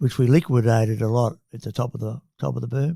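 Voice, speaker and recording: On a very clean recording with a silent background, a man with an Australian accent talks at a fairly quick pace in a dark, mellow tone. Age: 70s. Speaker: company chairman and investor. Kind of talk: podcast interview. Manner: hesitant fillers.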